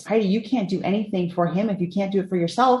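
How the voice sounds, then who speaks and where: A female-sounding put-on character voice booms out at a very fast pace. Its pitch sits at a medium level for a woman. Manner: authoritative, stern.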